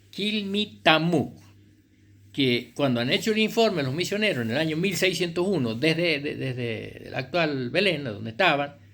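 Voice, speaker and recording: With lively intonation and vocal fry, a man talks at a moderate pace in a fairly high pitch. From Argentina, Chilecito, La Rioja. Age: 70s. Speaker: writer and local historian. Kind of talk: oral history talk. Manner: halting, many fillers.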